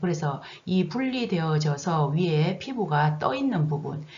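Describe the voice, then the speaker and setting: A woman's very deep, low pitch at a fairly slow pace, with audible room echo and noticeable background noise. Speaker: nursing instructor. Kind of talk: recorded online lecture.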